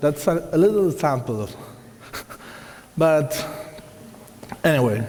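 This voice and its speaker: A man with an Argentine accent speaks at a fairly slow pace, with long, frequent pauses and lively intonation. His pitch is fairly high, and the clip has audible room echo and noticeable background noise. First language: Spanish. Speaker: watercolor artist and teacher. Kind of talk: lecture. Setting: hall with live audience.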